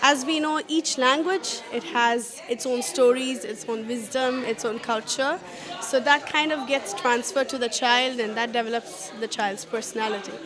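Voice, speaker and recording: A woman's high-pitched voice at a fairly slow pace, with ordinary pitch variation and crowd noise in the background. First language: Malayalam. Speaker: parent at a workshop. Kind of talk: interview.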